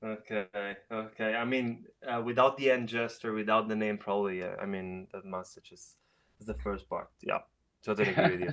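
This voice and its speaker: A man with an Italian accent at a fairly low pitch and fairly quick pace, fairly even intonation and big swings in loudness. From Italy. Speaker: webinar participant. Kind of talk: casual chat. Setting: video call. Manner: halting.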